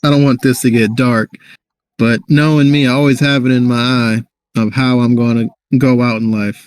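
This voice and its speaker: A man's medium-pitched voice with fairly even intonation, very even loudness and a moderate pace, in a dry, close sound with no echo. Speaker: podcast co-host. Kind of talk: casual chat. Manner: monotone.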